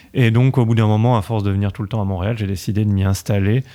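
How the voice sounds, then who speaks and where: Fairly quick and fairly even in intonation, a man's fairly low, dark, mellow voice comes through on a very clean recording with a silent background. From France, Paris. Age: 30s. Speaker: video game developer. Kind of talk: podcast interview.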